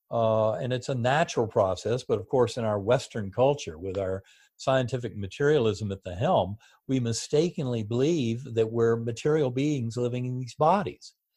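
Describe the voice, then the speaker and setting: With an American accent, a man speaks at a moderate pace in a somewhat breathy, dark, mellow voice of medium pitch, with ordinary pitch variation, against a quiet background. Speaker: neurosurgeon and author. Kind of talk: interview.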